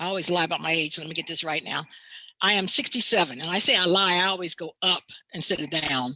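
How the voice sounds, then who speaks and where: Her tone bright and sharp, a woman speaks at a fairly quick pace with a fairly low pitch. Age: 60s. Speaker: diversity consultant and university lecturer. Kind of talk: panel talk on race.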